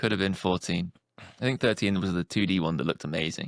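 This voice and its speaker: In a Yorkshire accent, a man speaks at a fairly quick pace, the sound dry and close with no echo on a very clean recording with a silent background. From northern England. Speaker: speedrunner. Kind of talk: casual chat. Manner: animated.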